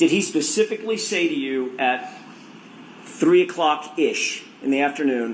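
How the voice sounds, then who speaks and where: With audible room echo and noticeable background noise around him, the man keeps a moderate pace. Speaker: attorney questioning witness. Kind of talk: courtroom examination. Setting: courtroom.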